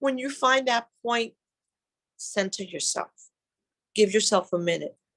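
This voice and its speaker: This woman has a plain, everyday voice at a fairly high pitch. She speaks at a fairly slow pace with ordinary pitch variation. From outside the US, immigrant. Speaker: panelist at mothers' summit. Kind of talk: panel talk.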